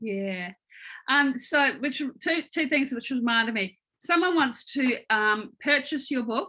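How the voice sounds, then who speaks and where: A woman speaks in a raised, projected voice, high and with a bright, sharp tone and lively intonation. Her pace is fairly slow, on a very clean recording with a silent background. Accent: New Zealand. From New Zealand. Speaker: interviewer. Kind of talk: interview.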